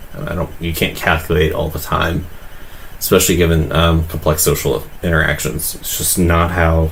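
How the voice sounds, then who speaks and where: Amid noticeable background noise and audible room echo, a man with a very deep, low pitch speaks in a monotone, flat way. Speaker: livestreamer drawing and commenting on videos. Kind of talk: casual livestream commentary. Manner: hesitant, many fillers.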